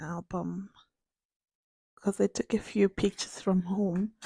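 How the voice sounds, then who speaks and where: This woman's voice sits at a medium pitch with a dark, mellow tone. The sound is dry and close, with no echo. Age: 20s. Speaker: vlogger. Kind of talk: casual video diary chat. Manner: rambling with many fillers.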